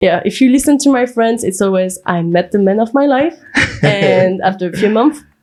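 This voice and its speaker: With very wide pitch swings, a woman speaks at a moderate pace against noticeable background noise. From France. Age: 20s. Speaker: paralegal. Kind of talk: podcast guest conversation.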